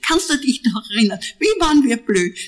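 Noticeable background noise under a woman's speech, its intonation lively. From Austria, Zwettl (Lower Austria). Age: 80s+. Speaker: artist. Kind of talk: interview. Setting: at home in Vienna.

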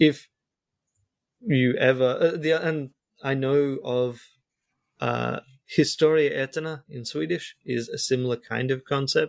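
An Australian-accented man with a fairly high pitch, a fairly slow pace, fairly even intonation and long, frequent pauses. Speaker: YouTuber. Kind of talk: casual chat. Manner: halting.

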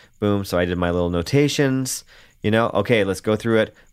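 Heard in a very clean recording with a silent background, a man has a plain, everyday voice, fairly low in pitch, with ordinary pitch variation. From Canada. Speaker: bass player. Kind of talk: casual interview chat.

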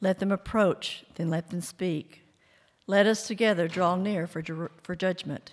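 A woman's a normal speaking voice at a medium pitch, with fairly even intonation, on a very clean recording with a silent background. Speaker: scripture reader. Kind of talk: reading aloud.

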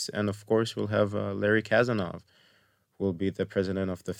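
In a very clean recording with a silent background, a man speaks with a very deep, low pitch and fairly even intonation. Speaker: festival organizer and film student. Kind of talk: casual interview. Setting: studio.

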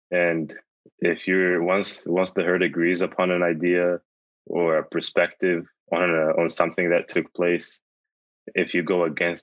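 Very deep and low, a man's voice moves at a fairly slow pace. The background is quiet. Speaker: college student. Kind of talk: panel discussion.

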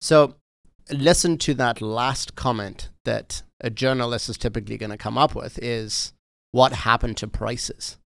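A man with a South African accent speaks at medium pitch and a moderate pace, with ordinary pitch variation and big swings in loudness. The recording is very clean, with a silent background. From South Africa, Johannesburg. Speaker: realtor. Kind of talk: casual interview.

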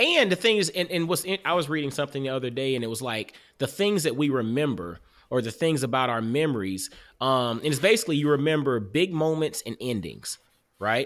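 A man with an American accent and an ordinary speaking voice talks fairly quickly at a fairly high pitch. The recording is very clean, with a silent background. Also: lively intonation. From US South, Augusta, Georgia. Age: 40s. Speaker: podcast host and author. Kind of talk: casual interview chat.

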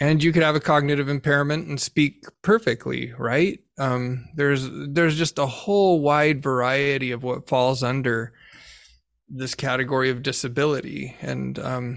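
An ordinary speaking voice from a male speaker, medium in pitch, moderate in tempo, with fairly even intonation. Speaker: podcast host and journal editor. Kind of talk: interview podcast.

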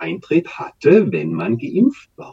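There is vocal fry in this man's dark, mellow tone. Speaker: activist and local election candidate. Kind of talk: interview. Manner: halting.

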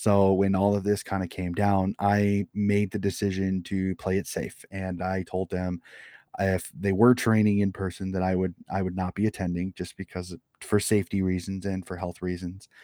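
In a very clean recording with a silent background and a dry, close sound free of echo, a man with a Midwestern accent talks at a moderate pace in a very deep, low pitch, his dark, mellow tone held in a monotone, flat intonation. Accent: American Midwest. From US Midwest, Des Moines, Iowa. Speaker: amateur footy coach and sports podcaster. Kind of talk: casual interview.

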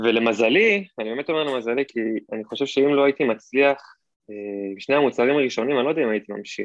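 The pace here is very fast as a man speaks. His medium pitch shows ordinary variation. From Israel, Hod HaSharon. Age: 20s. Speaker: Amazon seller, former college footballer. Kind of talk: podcast interview.

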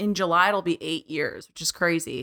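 A woman's bright, sharp voice, dry and close with no echo, on a very clean recording with a silent background. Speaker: trade association staff, former magazine writer. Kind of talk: casual chat. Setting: studio.

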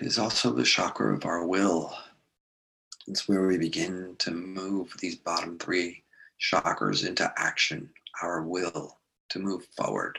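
At a fairly slow pace, a man with a very deep, low pitch and a bright, sharp tone talks with ordinary pitch variation. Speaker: meditation guide. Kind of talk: guided meditation. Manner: slow, soothing, calm and dreamy.

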